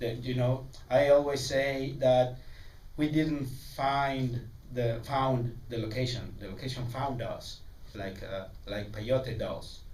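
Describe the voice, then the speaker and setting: Over noticeable background noise and audible room echo, a man talks at a very slow pace with fairly even intonation. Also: medium pitch for a man. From Mexico. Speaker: film director. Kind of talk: festival Q&A. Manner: halting, many repeats and fillers.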